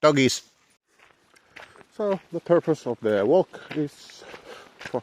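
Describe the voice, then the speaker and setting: A man with a Finnish accent speaks at a very slow pace and a fairly high pitch, with lively intonation. The sound is dry and close, with no echo. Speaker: dog owner vlogger. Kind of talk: casual vlog narration. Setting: outdoors. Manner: halting.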